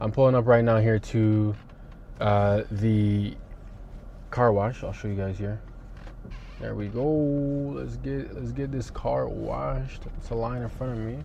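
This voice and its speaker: Long, frequent pauses break up the fairly slow speech, which carries audible room echo. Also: man. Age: 20s. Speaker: trading vlogger. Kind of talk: casual vlog talk to camera. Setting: in a car. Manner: casual, filler-heavy.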